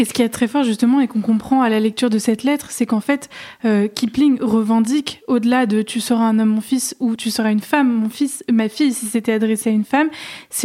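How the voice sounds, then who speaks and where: An ordinary speaking voice, fairly even intonation, fairly quick pace. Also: woman. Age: 20s. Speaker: podcast host, philosophy student. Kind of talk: interview.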